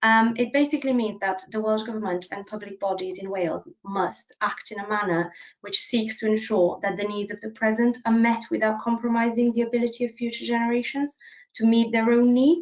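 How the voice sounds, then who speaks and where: This woman has a Bulgarian accent and a fairly high pitch. She talks at a fairly quick pace with ordinary pitch variation. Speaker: policy officer. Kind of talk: presentation. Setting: video call.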